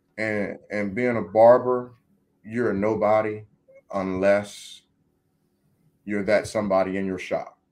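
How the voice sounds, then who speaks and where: A man with an American accent speaks at a fairly low pitch and a fairly slow pace. His intonation is monotone and flat, with long, frequent pauses. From Maryland, Washington DC area. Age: 30s. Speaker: barbershop owner and barbecue caterer. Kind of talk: casual interview chat. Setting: studio.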